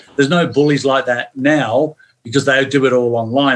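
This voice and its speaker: This is a man talking at a moderate pace. His pitch is fairly high. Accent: English. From northern England, St Helens near Manchester, moved to Melbourne at 11. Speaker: former football player. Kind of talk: podcast interview. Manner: animated.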